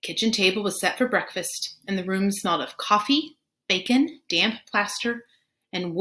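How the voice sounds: This is a natural reading voice with ordinary pitch variation over a quiet background.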